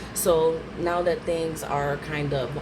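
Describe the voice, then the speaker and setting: Over noticeable background noise, a woman talks in a very deep, low pitch. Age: 30s. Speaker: stay-at-home mom. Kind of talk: casual talk to camera. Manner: nervous, hesitant.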